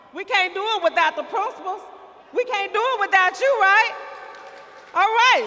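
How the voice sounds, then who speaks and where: A woman speaks at a moderate pace in a raised, projected voice with extremely high pitch, ordinary pitch variation, and long, frequent pauses over noticeable background noise. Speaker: school district administrator. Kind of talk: ceremony introductions. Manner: loud.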